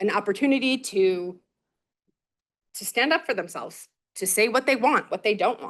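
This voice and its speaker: The speaker is a woman. She has a slight non-native accent. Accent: barely noticeable non-native. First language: not English. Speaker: nonprofit director. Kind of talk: seminar talk. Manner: conversational, casual.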